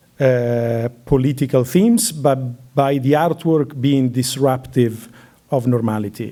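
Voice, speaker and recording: A man with an Italian accent speaks at medium pitch in a dark, mellow tone with fairly even intonation. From Italy. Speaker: curator. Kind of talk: lecture Q&A. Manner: hesitant, many fillers.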